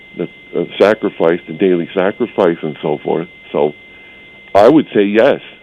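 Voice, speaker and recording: Noticeable background noise sits behind a man's voice. He speaks at a fairly slow pace with a very deep, low pitch. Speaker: caller. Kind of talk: casual chat. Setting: phone call.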